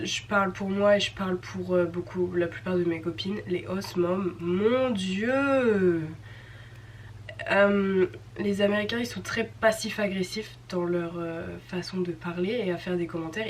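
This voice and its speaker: Against noticeable background noise, a woman of medium pitch speaks very slowly with lively intonation. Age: 20s. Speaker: au pair vlogger. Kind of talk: casual vlog chat. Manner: chatty, many hesitations.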